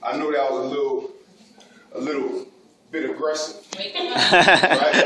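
A man talks at a fairly slow pace over noticeable background noise. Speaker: spoken word poet. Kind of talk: casual talk to a live audience. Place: hall.

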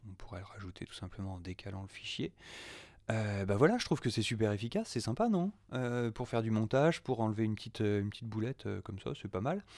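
On a very clean recording with a silent background, a man speaks at a fairly quick pace in a fairly low pitch. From France. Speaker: audio producer. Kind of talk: software tutorial. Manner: hesitant, many fillers.

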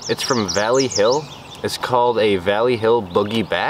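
At a fairly slow pace, a man speaks with ordinary pitch variation, the sound dry with no echo and noticeable background noise behind him. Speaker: fishing vlogger. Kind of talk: casual vlog chat. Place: waterside.

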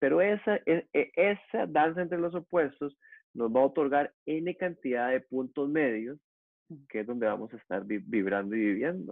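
In a Costa Rican accent, a man with a fairly high voice speaks at a fairly slow pace with very wide pitch swings, the sound dry with no echo against a quiet background. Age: 40s. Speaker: yoga teacher; yoga teacher guest. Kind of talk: interview conversation. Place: home room. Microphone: earbuds.

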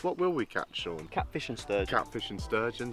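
A man speaks over clear background music. The sound is dry, with no echo. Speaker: fishing vlogger. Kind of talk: casual vlog chat. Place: waterside.

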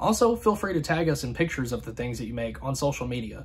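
The man in this clip talks at a fairly quick pace. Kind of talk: casual vlog outro. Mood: warm, grateful. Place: home room.

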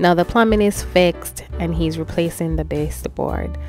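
Faint music plays in the background while a woman talks at a fairly slow pace. The sound is dry, with no echo. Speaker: family vlogger. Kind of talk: casual vlog chat. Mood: proud, warm. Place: home room. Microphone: phone near.

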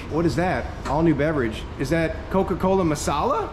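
Noticeable background noise behind a male speaker. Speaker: travel vlogger. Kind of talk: casual vlog chat. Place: shop. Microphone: phone near.

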